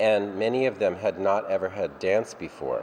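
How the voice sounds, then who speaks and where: Against noticeable background noise, a man with an American accent talks at a fairly slow pace and fairly low pitch, with ordinary pitch variation. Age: 60s. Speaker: dance company director. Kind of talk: interview.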